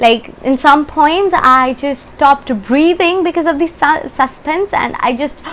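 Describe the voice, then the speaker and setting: A high-pitched woman talking with hardly any pauses over noticeable background noise. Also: ordinary pitch variation, fairly slow pace. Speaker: book youtuber. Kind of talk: casual book review vlog. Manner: halting, many fillers and restarts.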